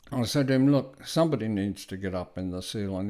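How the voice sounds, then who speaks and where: A man speaks with a fairly low pitch and a dark, mellow tone at a moderate pace. The recording is very clean, with a silent background. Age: 70s. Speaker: retired electrician. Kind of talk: casual talk-through of photos.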